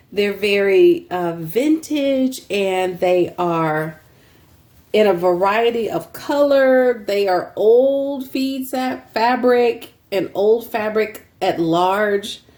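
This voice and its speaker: With a Texan accent, a woman talks at a very slow pace. Her fairly high pitch carries lively intonation. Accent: Texan US Southern. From Texas. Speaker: fabric seller and crafter, channel host. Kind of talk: casual sales show-and-tell. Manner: casual, filler-heavy with many ums.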